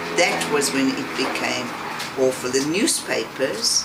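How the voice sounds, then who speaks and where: The recording carries noticeable background noise and audible room echo. The voice belongs to a woman. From South Africa, rural Eastern Cape. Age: 70s. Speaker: interviewee, emigrant grandmother. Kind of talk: interview.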